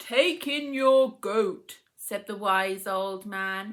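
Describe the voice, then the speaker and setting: A woman's put-on character voice, medium in pitch, very slow, with lively intonation. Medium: read story. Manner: calm, measured.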